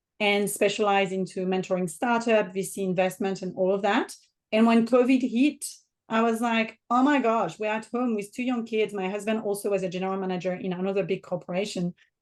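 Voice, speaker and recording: Against a quiet background, a woman with a French accent talks at a fairly quick pace, her medium-pitched voice keeping a fairly even intonation. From southern France. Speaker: business mentor and author. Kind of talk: podcast interview.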